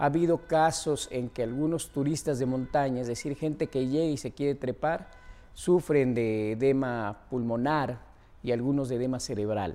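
This man has a medium-pitched voice with a dark, mellow tone and a central Mexican accent. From Mexico, Puebla. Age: 70s. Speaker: mountaineer and expedition leader. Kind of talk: monologue interview.

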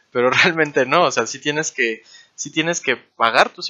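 Here is a man with an ordinary speaking voice. He goes at a fairly quick pace with ordinary pitch variation. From Mexico, Chetumal, Quintana Roo. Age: 20s. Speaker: 3D environment artist. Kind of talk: casual interview.

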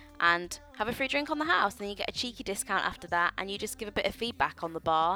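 With music in the background, a woman talks at a very fast pace. Her tone is animated and enthusiastic, her intonation lively. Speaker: podcast host. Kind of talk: casual interview. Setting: live recording with audience. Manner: animated, enthusiastic.

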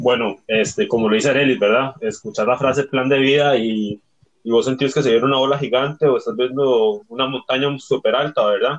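A man talks at a fairly quick pace in a normal speaking voice with a medium pitch. His pitch varies in an ordinary way, and his loudness stays very even. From Costa Rica. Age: 20s. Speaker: youth group member. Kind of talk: casual chat.

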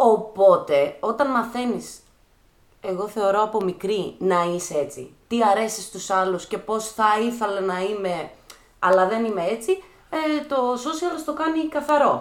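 A woman's unremarkable speaking voice, fairly high in pitch, with lively intonation. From Greece, Thessaloniki. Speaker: dancer and choreographer. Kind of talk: casual chat.

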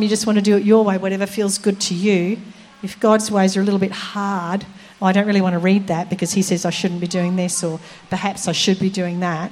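A woman talks at a fairly quick pace in a normal speaking voice. Her pitch is medium and her intonation fairly even. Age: 60s. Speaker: preacher. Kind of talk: sermon.

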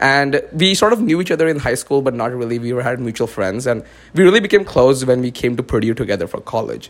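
At a very fast pace, a man with a medium pitch talks with lively intonation. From India. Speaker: podcast host. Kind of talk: casual chat.

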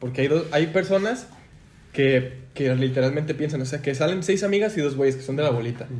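A somewhat breathy man talks at a fairly quick pace with ordinary pitch variation. Audible room echo surrounds his voice. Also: fairly high pitch for a man. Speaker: podcast co-host. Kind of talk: casual chat. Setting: studio.

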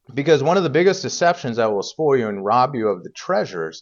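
Talking at a very fast pace, a man speaks with a Midwestern American accent. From Indiana, US Midwest. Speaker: preacher. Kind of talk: sermon. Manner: halting, many fillers.

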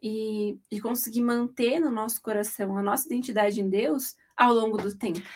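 A woman speaks at a fairly slow pace. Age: 20s. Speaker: podcast host, journalist. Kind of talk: casual chat.

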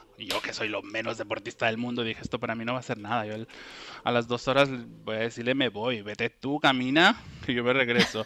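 A man is speaking. His pace is very fast. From Ecuador, then Bilbao from age 15. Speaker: curly hair enthusiast, social media user. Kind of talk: casual interview chat.

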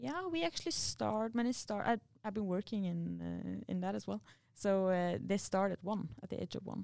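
A woman with a Norwegian accent at a moderate pace. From Norway. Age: 20s. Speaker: university student and athlete. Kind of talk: interview.

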